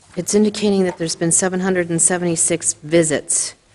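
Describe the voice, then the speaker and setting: A woman talks at a fairly slow pace with fairly even intonation. It is a normal speaking voice. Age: 40s. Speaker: school board chair. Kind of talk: chairing public meeting; reading aloud. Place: meeting room. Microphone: podium.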